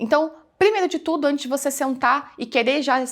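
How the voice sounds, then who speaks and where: On a very clean recording with a silent background, a woman talks at a fairly quick pace with lively intonation. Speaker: digital business mentor. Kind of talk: tutorial. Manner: casual, conversational.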